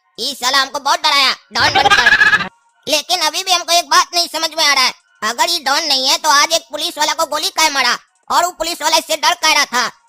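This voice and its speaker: This cartoonish character voice is high-pitched and moves at a fairly quick pace. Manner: rustic, swears often.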